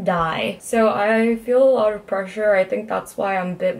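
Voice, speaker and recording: A medium-pitched woman's voice over noticeable background noise. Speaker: vlogger. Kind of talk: casual vlog monologue.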